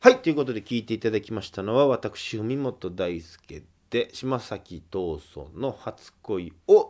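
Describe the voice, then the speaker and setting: This man has a normal speaking voice with a medium pitch and lively intonation, moving at a fairly slow pace with hardly any pauses. His loudness swings widely, and the recording is very clean with a silent background. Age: 20s. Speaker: folk singer-songwriter hosting a radio show. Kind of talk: solo radio talk.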